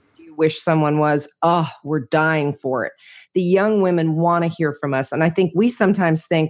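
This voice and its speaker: A woman with a fairly low pitch and ordinary pitch variation talks at a moderate pace in a normal speaking voice. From New Jersey. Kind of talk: interview, personal testimony.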